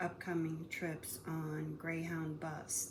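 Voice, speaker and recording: A woman with a very deep, low pitch and a somewhat breathy voice speaks at a very slow pace. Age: 60s. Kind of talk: casual talk to camera.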